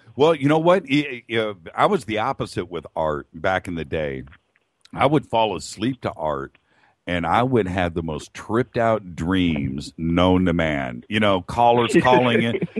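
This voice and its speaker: With very wide pitch swings, a man speaks fairly slowly at a fairly low pitch. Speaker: radio show host. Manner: loud.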